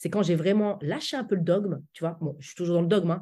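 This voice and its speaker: A somewhat breathy voice with a dark, mellow tone. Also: woman. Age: 40s. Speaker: public speaking coach. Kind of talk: interview.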